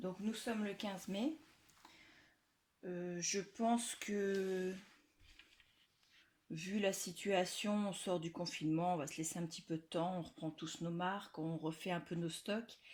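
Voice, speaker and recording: Very slowly and with long, frequent pauses, a woman speaks at a medium pitch with ordinary pitch variation. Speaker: scrapbooking youtuber. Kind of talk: casual video presentation. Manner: loud; hesitant with fillers.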